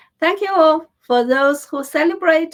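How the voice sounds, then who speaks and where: Her pitch swinging very widely, a woman speaks with a Chinese accent. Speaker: political news commentator. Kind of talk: news commentary. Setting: on camera, home studio. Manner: halting, frequent self-corrections.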